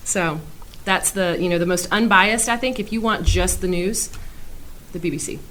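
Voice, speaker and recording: At a moderate pace, a woman of medium pitch speaks with ordinary pitch variation and long, frequent pauses amid audible room echo. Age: 30s. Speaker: English teacher. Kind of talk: casual interview.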